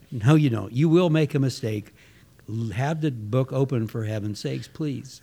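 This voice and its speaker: Somewhat breathy and dark, mellow in tone, a man's voice sits at a medium pitch with ordinary pitch variation. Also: moderate pace. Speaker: dairy business owner, co-host. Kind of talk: casual interview chat.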